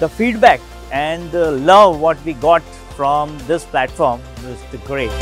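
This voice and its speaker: A man speaks at a fairly slow pace in a dry sound with no echo, with faint music in the background. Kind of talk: interview answer. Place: hall. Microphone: lapel.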